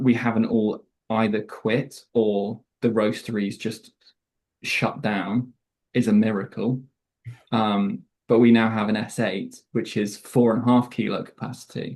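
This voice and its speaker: His intonation stays fairly level. The man talks at a fairly slow pace. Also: medium pitch for a man. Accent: British. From Southwest England. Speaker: coffee roaster sales manager. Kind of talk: casual interview chat.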